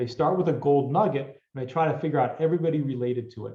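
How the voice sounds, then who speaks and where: A man speaks at a fairly high pitch with ordinary pitch variation, his voice somewhat breathy. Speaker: cybersecurity vendor presenter. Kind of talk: technical presentation. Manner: fast.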